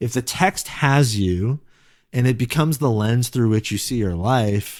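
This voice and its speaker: On a very clean recording with a silent background, a man speaks fairly slowly with ordinary pitch variation. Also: medium pitch for a man. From US West Coast, Silicon Valley, California. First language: Korean. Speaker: pastor. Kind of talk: interview. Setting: podcast. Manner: casual, reflective.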